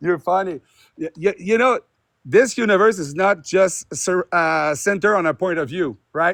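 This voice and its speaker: A man's high voice with a French accent, at a moderate pace with ordinary pitch variation, dry and close with no echo, in a very clean recording over a silent background. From France. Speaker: theist caller in debate stream. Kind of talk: debate. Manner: halting.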